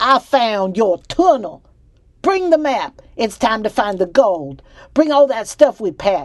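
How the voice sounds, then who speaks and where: A put-on character voice in a Southern US accent comes out raised and projected, fairly high in pitch, at a fairly slow pace with very wide pitch swings. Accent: Southern US drawl. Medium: read story. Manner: loud, folksy, coarse.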